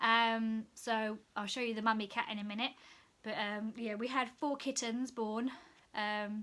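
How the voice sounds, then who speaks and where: Her tone bright and sharp, a woman speaks fairly slowly at a fairly high pitch with monotone, flat intonation. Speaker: cross stitch hobbyist. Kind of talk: casual talk to camera.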